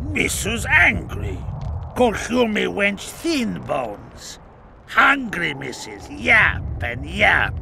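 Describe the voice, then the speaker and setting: Clear background noise sits beneath a man putting on a character voice. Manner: broken pidgin speech, simple-minded.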